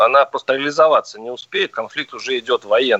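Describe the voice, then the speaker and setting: A man's voice comes across dry and close, without any echo. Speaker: radio host. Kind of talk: radio talk show debate. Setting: radio studio.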